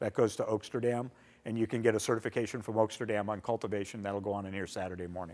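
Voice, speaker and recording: A man talks at a medium pitch and a very fast pace. His pitch moves up and down in an ordinary way. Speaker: event organizer presenting to attendees. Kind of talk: conference presentation. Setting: conference hall with audience.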